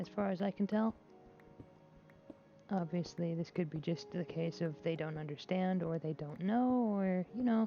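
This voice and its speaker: Over music in the background, a woman with a fairly low pitch speaks at a moderate pace with lively intonation and long, frequent pauses. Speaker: gaming streamer. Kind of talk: casual chat. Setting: at a computer playing video games. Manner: hesitant.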